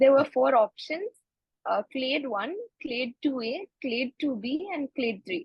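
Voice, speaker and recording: A woman speaks at a very slow pace with a Kannada accent. Her voice is high-pitched, with lively intonation. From India (Bangalore, Karnataka). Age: 20s. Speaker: medical student. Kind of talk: interview. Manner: halting, many fillers.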